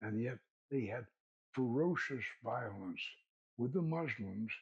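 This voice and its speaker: Somewhat breathy, a man talks at medium pitch and a fairly slow pace with ordinary pitch variation. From US South. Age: 80s+. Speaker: occult author and filmmaker. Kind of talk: interview conversation. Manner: halting, many repetitions.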